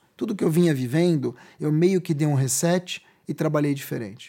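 In a very clean recording with a silent background, a man's fairly high voice has a dark, mellow tone and ordinary pitch variation. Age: 40s. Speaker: journalist and communications strategist. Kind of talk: interview.

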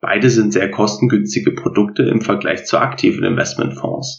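A man's voice at a moderate pace. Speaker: finance podcast host. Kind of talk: scripted narration.

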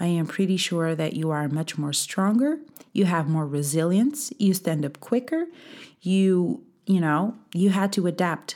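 In a Portuguese accent, a woman speaks at a fairly slow pace with a fairly low pitch. Her tone is dark and mellow, and her intonation is lively. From Portugal. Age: 20s. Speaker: podcast host. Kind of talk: motivational talk.

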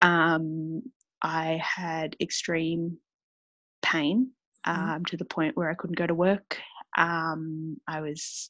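In a quiet background with a dry, close sound and no echo, a woman with a fairly low pitch speaks at a very slow pace. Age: 20s. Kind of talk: testimony.

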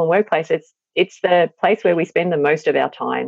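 A woman with an Australian accent at a fairly quick pace, with ordinary pitch variation. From regional Victoria, Australia. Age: 40s. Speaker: psychologist and parenting author. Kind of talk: interview.

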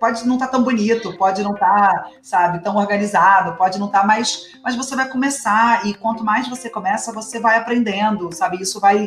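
Through noticeable background noise, a woman with a fairly high pitch and ordinary pitch variation talks at a fairly quick pace with hardly any pauses. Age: 30s. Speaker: podcast co-host. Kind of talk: casual chat.

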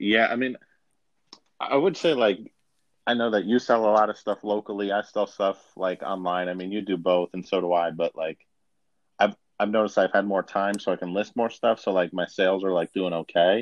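In an unremarkable speaking voice with an American accent, a man talks at a fairly quick pace, his pitch fairly low and his intonation fairly even. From Buffalo, New York. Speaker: podcast co-host. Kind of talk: casual comedic chat. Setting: remote phone-in recording via app. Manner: jokey, laughing.

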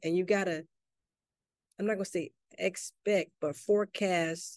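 Speaking with a Southern US accent, a woman uses a fairly low pitch, a dark, mellow tone and fairly even intonation at a fairly slow pace, with a dry, close sound with no echo. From US South, Mississippi. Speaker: army veteran and chef, small business owner. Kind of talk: interview.

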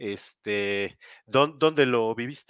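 A normal speaking voice with ordinary pitch variation comes through a very clean recording, dry and close with no echo against a silent background. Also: man. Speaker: interview show host. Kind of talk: interview. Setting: live video stream.

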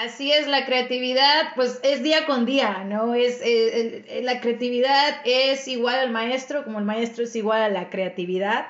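A woman's high pitch at a fairly slow pace, with ordinary pitch variation, hardly any pauses, and audible room echo. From Mexico. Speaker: podcast host and Spanish teacher. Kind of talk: casual chat.

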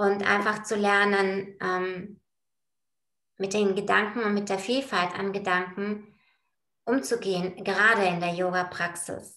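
The speech goes at a very slow pace, with long, frequent pauses. The intonation is monotone and flat. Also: woman, medium pitch for a woman. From Bulgaria. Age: 40s. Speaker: project manager in construction, yoga practitioner. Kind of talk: casual interview. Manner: hesitant, many filler sounds.

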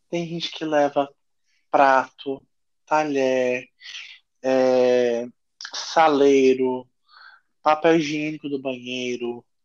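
A man speaks at a very slow pace with long, frequent pauses. His intonation is monotone and flat. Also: medium pitch for a man. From Pará, northern Brazil. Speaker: chef and restaurant owner. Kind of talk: casual interview.

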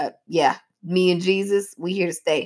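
A woman talks in an animated tone at a moderate pace. Her pitch sits in the medium range. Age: 30s. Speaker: podcast host and preacher. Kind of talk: casual chat.

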